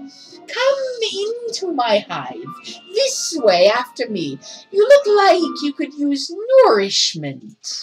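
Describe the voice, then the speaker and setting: Using a put-on character voice that is high-pitched and strained, a woman speaks at a very slow pace over faint music in the background. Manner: put-on, strained.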